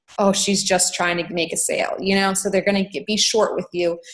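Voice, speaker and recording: A woman talks at a very fast pace. Her medium-pitched voice is somewhat breathy. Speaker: network marketing coach, guest speaker. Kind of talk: online team training talk.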